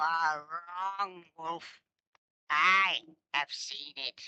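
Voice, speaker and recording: This is a put-on character voice that sounds female. It is fairly low for a woman and very slow. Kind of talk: mythic radio drama. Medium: audio drama. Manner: solemn, prophetic.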